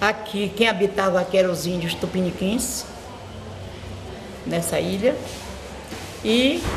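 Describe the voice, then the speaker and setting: Noticeable background noise and audible room echo fill the recording. A woman speaks at a very slow pace with ordinary pitch variation. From Brazil, Bahia (Morro de São Paulo). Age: 80s+. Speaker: schoolteacher and local historian. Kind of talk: interview, oral history.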